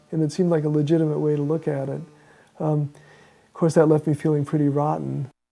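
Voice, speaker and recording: Talking very fast yet with long, frequent pauses, a man holds a fairly high pitch in a flat monotone. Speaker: person living with Parkinson's. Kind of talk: documentary interview. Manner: stammers a little; halting, many fillers.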